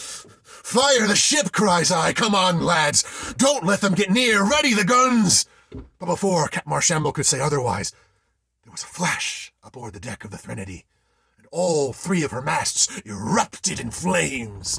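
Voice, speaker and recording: A man does a put-on character voice, high for a man, at a moderate pace. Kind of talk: solo theatre ghost story monologue.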